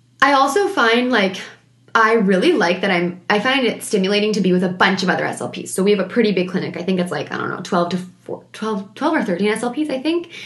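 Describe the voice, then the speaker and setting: A woman talks at a fairly quick pace and a medium pitch with lively intonation. Noticeable background noise runs underneath. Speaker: speech-language pathologist podcaster. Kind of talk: solo podcast monologue. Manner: very fast talker, excitable; animated when discussing SLP topics.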